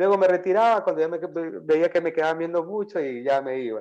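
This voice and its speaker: A man with a coastal Ecuadorian accent talks at a very fast pace with lively intonation against a quiet background. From Ecuador, Guayaquil. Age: 40s. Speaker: entrepreneur, auto parts business owner. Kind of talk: interview.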